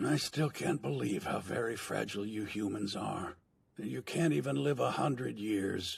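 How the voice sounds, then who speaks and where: A man's put-on character voice, raspy and fairly low in pitch, with very wide pitch swings, a relaxed tone and a moderate pace. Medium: fan dub. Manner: relaxed, wry.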